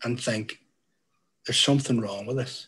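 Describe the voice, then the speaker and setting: A man with a Northern Irish accent speaks at medium pitch with fairly even intonation. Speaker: youth worker. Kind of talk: panel talk.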